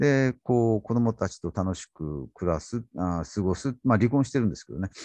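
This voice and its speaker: Against a quiet background, a man talks at a moderate pace with very wide pitch swings, the sound dry with no echo. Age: 60s. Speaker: literature YouTuber. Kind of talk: casual talk. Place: home room. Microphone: studio mic.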